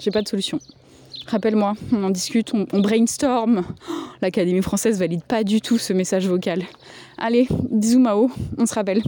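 A woman's fairly high voice with a dark, mellow tone, ordinary pitch variation, a moderate pace and long, frequent pauses. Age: 30s. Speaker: podcast host. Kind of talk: voicemail message monologue. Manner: casual, hesitant with many fillers.

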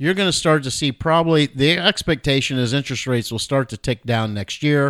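Lively intonation and a moderate pace mark an ordinary speaking voice. The recording is very clean with a silent background and a dry, close sound with no echo. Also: man. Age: 60s. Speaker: financial advisor, podcast co-host. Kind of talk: casual chat about markets.

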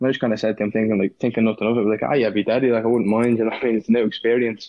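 A man in a Dublin accent, medium pitch, and flat, monotone intonation. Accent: Dublin Irish. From Dublin, Ireland.

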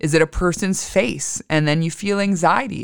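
At a moderate pace, a woman with a plain, everyday voice speaks at a fairly low pitch with ordinary pitch variation. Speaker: astrology podcaster. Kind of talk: guided meditation.

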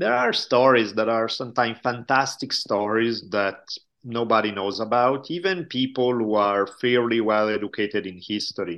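A man with an Italian accent speaks at a moderate pace. His medium-pitched voice shows ordinary pitch variation. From Italy. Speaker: history professor and podcaster. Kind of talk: casual interview conversation.

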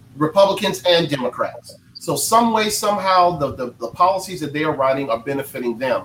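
With an American accent, a man talks at a fairly quick pace in a high voice, with lively intonation and hardly any pauses, over noticeable background noise. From North Carolina. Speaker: politician and veteran. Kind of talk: panel discussion.

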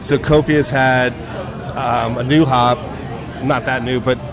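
With an American accent, a man speaks very slowly and with fairly even intonation amid noticeable background noise. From New Jersey. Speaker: brewmaster. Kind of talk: casual chat. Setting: brewery taproom event.

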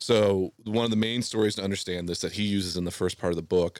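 A man's fairly low voice with an American accent, an ordinary speaking voice, fairly even intonation, and a very clean recording over a silent background. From Southwest Ohio. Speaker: stand-up comedian. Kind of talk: casual chat. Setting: studio.

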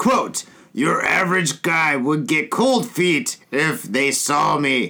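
A man does a put-on character voice, fairly high with very wide pitch swings. He speaks very slowly at a very even loudness. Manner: put-on voice for a woman quoted.

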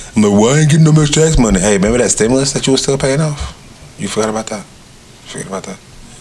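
Noticeable background noise sits under very fast speech with ordinary pitch variation. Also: man, medium pitch for a man. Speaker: podcast host. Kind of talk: casual chat.

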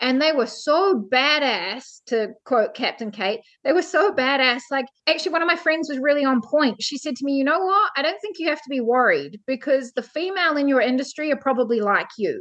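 In a New Zealand accent, a woman talks fairly quickly in a high voice with lively intonation and hardly any pauses. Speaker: ship's officer. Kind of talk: interview.

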